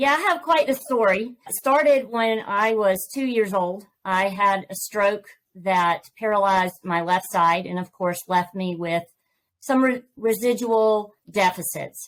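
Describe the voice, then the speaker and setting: A woman's fairly slow speech is captured in a very clean recording with a silent background. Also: medium pitch for a woman, ordinary pitch variation. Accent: slight Southern US. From US South, Georgia. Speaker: author and podcast host. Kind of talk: interview.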